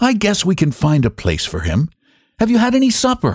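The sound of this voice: A man's put-on character voice, high for a man with very wide pitch swings and a slightly husky edge, at a moderate pace on a very clean recording with a silent background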